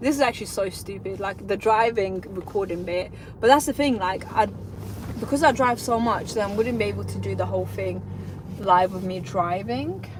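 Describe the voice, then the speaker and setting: A woman at a moderate pace, with noticeable noise behind her. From North London (Tottenham), moved from Lithuania at nine. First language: Lithuanian. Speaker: self-employed electrician, vlogger. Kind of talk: casual live vlog. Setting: in a car, driving.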